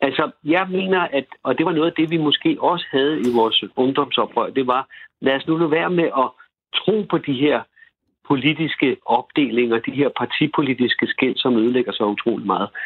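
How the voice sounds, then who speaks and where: Keeping a very even loudness, a man speaks at a fairly high pitch. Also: ordinary pitch variation, moderate pace. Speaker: commune resident. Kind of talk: radio debate. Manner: halting, repeats words.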